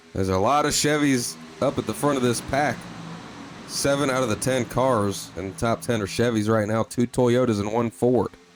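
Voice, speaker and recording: A man with a medium pitch and ordinary pitch variation keeps a moderate pace amid noticeable background noise. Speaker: sim racing commentator. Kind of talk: live commentary. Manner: animated.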